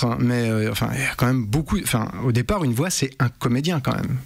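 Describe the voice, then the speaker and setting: At a fairly quick pace, a man speaks in an ordinary speaking voice of medium pitch with ordinary pitch variation. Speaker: voice actor and commercial voice-over artist. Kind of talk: casual interview answer about voice-over work. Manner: conversational, sincere, explaining his craft.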